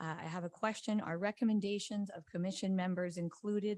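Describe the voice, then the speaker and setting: In a very clean recording with a silent background, a woman talks at a fairly quick pace with fairly even intonation. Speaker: appellant resident at public hearing. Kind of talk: public testimony. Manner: fast; formal.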